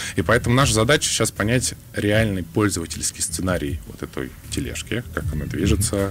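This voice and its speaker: Very wide pitch swings mark a man's moderately paced speech over noticeable background noise. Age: young. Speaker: government innovation agency official. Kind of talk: radio interview. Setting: radio studio.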